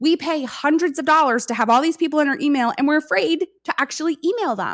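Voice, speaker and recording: A woman talks at a very fast pace with an American accent, her high pitch carried by lively intonation. The recording is very clean with a silent background and a dry, close sound with no echo. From New York. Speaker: content strategist, former teacher. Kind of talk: podcast interview.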